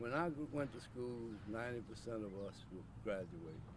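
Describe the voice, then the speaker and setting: Room echo can be heard around this man's voice. He keeps a moderate pace, and his pitch varies in an ordinary way. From US South, Opelousas, Louisiana. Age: 70s. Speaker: community elder. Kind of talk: interview. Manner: halting.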